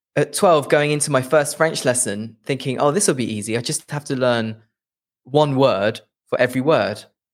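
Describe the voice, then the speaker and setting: The speaker has a slight Leicester accent. Their moderate pace comes with ordinary pitch variation. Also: man, fairly high pitch for a man. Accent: English, little Leicester. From England, Leicester. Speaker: English teacher. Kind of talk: interview. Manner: hesitant, repeats words.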